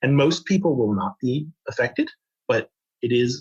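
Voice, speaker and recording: A man's fairly high, unremarkable speaking voice with lively intonation. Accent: American. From United States. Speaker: fraud analytics manager. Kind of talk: podcast interview.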